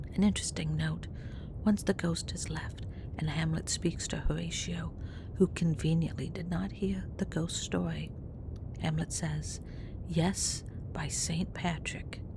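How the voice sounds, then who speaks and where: Whispering at a fairly slow pace, the speaker leaves long, frequent pauses. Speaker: podcast host. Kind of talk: history podcast narration. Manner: whispered.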